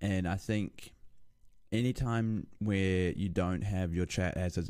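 A man's very deep, low voice in a dark, mellow tone, at a fairly slow pace, on a very clean recording with a silent background. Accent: New Zealand. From New Zealand (Lower Hutt, Wellington). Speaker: streamer. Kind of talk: casual interview. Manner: halting, many fillers.

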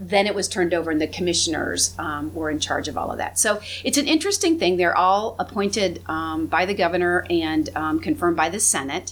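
A woman's fairly low voice at a fairly quick pace, with hardly any pauses, ordinary pitch variation and noticeable background noise. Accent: Midwestern American. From northwest Ohio (Findlay). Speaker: government executive. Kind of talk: casual chat.

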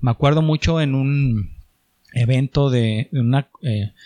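Medium-pitched male voice with a dark, mellow tone and ordinary pitch variation, dry and close with no echo. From Mexico, Chihuahua. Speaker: entrepreneur. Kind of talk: casual chat.

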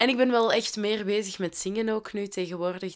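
This recording is very clean, with a silent background. A woman talks at a moderate pace. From Flanders, Belgium (Londerzeel). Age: 20s. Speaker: podcast host, social worker. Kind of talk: casual solo podcast monologue. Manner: chatty, talkative.

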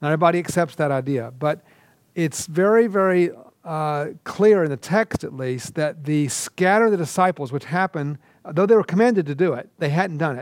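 A man speaks at a fairly quick pace, fairly high in pitch, with ordinary pitch variation. The recording is very clean and the background is silent. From US South, Georgia. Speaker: seminary professor. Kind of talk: lecture. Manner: halting, many fillers.

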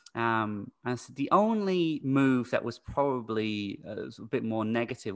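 Against a quiet background, a man speaks with an American accent. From UK-born, raised internationally. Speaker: teacher. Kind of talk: casual interview. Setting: remote call.

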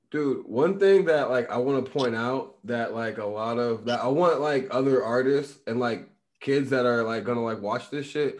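In an American accent, a man with a normal speaking voice talks at a moderate pace and medium pitch, with ordinary pitch variation and hardly any pauses. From Illinois. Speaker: podcast host. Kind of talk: casual chat.

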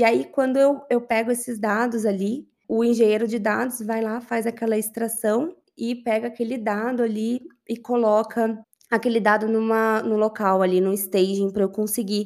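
A woman with an unremarkable speaking voice speaks at a moderate pace, fairly high in pitch and with fairly even intonation. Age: 30s. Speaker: business intelligence analyst. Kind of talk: interview.

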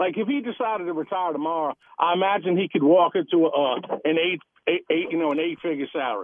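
At a very fast pace, a man talks with a high pitch. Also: ordinary pitch variation. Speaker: caller. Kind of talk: call-in talk radio. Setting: phone call.

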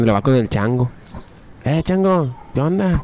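A man with a Mexican accent speaks in a medium pitch. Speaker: podcast co-host. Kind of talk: casual chat. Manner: animated.

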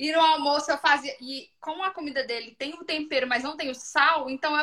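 A woman's high, raised, projected voice at a fairly quick pace. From Brazil, Minas Gerais (Ipatinga). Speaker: mother sharing baby feeding experience. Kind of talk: casual chat.

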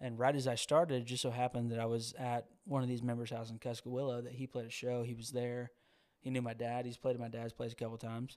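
With an American accent, a man of medium pitch speaks very fast in a flat, monotone way. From US South, Georgia. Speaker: singer-songwriter. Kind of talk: casual chat.

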